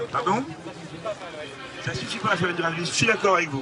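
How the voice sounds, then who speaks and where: Lively intonation at a moderate pace comes through audible room echo, with crowd noise in the background. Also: man. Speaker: audience member. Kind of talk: heated debate. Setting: outdoor public square with audience.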